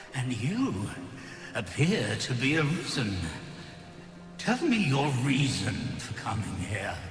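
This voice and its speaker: Using a put-on character voice at medium pitch, a man goes at a fairly slow pace with long, frequent pauses, against clear background noise and clear echo. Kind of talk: archaic epic fantasy speech. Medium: video game. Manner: grave, slow, archaic.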